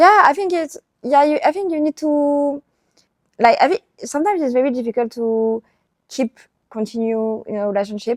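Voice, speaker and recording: With a French accent, a woman speaks at a moderate pace in a high pitch with very wide pitch swings, the sound dry and close with no echo. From southern France. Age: 20s. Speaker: traveler. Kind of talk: casual chat. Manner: halting.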